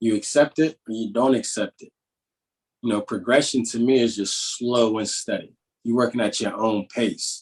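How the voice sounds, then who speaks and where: A man talks at a medium pitch. He keeps a moderate pace and fairly even intonation. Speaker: positivity coach. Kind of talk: interview. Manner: casual, with many filler words.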